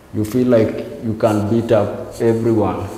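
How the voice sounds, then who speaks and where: Over light background noise and audible room echo, a man speaks very slowly in a fairly low pitch with monotone, flat intonation. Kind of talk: interview answer. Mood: reflective, subdued.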